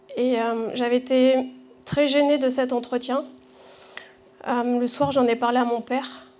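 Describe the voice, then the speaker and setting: A woman speaks at a moderate pace with a high pitch and a monotone, flat intonation. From southwestern France, Bordeaux. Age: 40s. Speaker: church member giving testimony. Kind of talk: testimony. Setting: church gathering with audience. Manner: halting, many hesitations.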